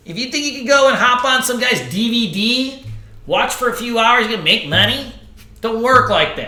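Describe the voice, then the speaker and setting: Amid noticeable background noise and audible room echo, a man with an extremely high pitch speaks in a raised, projected voice with an animated tone at a fairly slow pace. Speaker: trading instructor. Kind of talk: live class sales pitch. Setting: live online class. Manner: loud, animated.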